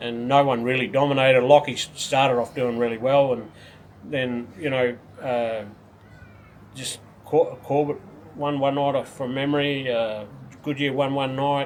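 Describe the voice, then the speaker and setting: A man with an Australian accent speaks in a flat monotone, leaving long and frequent pauses, over noticeable background noise. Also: medium pitch for a man, moderate pace. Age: 60s. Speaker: retired speedway racer and team owner. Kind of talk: casual interview. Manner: halting, many repetitions.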